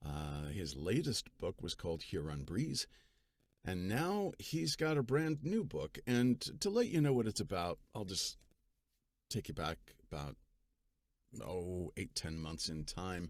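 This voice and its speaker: With very wide pitch swings, a man with a very deep, low pitch speaks at a fairly slow pace, leaving long, frequent pauses. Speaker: audiobook narrator. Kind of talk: casual talk to camera.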